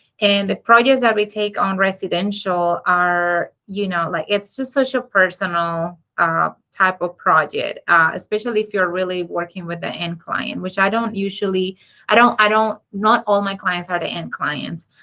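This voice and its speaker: With hardly any pauses, a woman talks at a moderate pace in a bright, sharp tone of medium pitch, showing ordinary pitch variation. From Dominican Republic. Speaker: architect. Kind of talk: interview. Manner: hesitant, many fillers.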